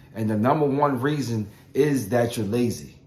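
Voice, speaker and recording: The man sounds somewhat breathy. His intonation is lively. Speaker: motivational vlogger. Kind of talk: motivational talk. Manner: halting.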